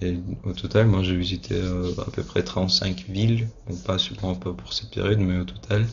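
Fairly slow speech with lively intonation over noticeable background noise. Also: man, very deep, low pitch for a man. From Russia (Moscow). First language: Russian (speaking French). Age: 20s. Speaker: university student. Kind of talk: interview. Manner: halting, many hesitations and repeated words.

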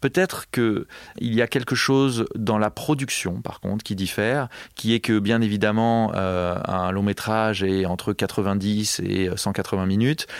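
In a plain, everyday voice, a man speaks at a fairly low pitch and a fairly slow pace with fairly even intonation. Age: 40s. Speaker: film composer. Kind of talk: interview. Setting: studio.

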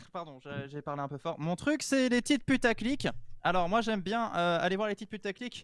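A man talks loudly at a fairly quick pace. The recording is very clean and dry, close, with no echo and a silent background. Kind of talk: casual chat.

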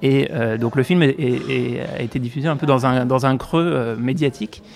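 Over faint background noise, a man talks at a medium pitch and a moderate pace, with a slightly mellow tone, vocal fry and ordinary pitch variation.

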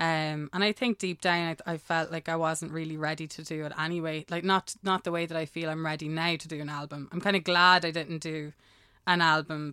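In an Irish accent, a woman speaks with a very deep, low pitch and a bright, sharp tone, her intonation monotone and flat. She keeps a moderate pace in a very clean recording with a silent background. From Ireland. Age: 30s. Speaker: singer-songwriter. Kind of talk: casual chat.

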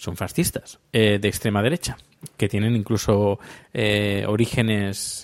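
The man's voice sits fairly low. Its pitch moves up and down in an ordinary way. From Spain. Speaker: podcaster. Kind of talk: casual monologue. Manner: halting.

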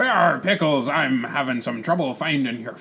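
A man puts on a character voice pitched fairly high. Clear background noise can be heard. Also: moderate pace.

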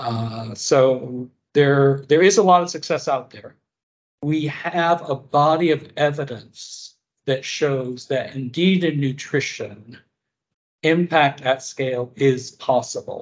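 In an American accent, a man speaks at a very slow pace. His voice sits fairly high, with ordinary pitch variation. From US, rural northwest Pennsylvania. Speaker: public health nutrition leader. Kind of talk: interview. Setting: remote call.

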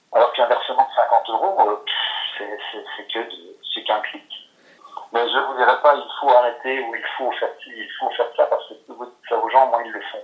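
Noticeable background noise surrounds a man whose loudness swings widely. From France, Lorraine. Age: 60s. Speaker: recovering gambling addict. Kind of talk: testimony. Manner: halting, many hesitations and repetitions.

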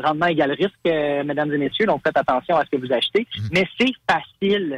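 Heard in a dry, close sound with no echo, a man talks at a fairly quick pace with lively intonation. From Quebec, Montreal suburbs. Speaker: crypto investor. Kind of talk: interview. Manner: enthusiastic.

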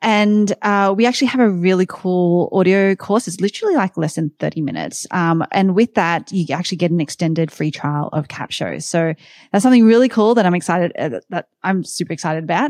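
With an Australian accent, a woman talks at a fairly quick pace and medium pitch with ordinary pitch variation, her voice dry and close with no echo against a quiet background. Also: hardly any pauses. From Sydney, Australia. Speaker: tech company founder and CEO. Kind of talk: casual interview chat.

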